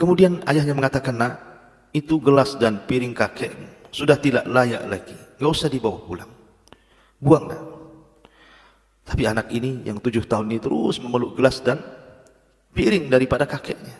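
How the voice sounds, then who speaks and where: At a fairly quick pace, a man speaks at medium pitch with ordinary pitch variation and long, frequent pauses. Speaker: Islamic preacher (ustad). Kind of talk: Islamic sermon (khutbah/lecture) to a congregation.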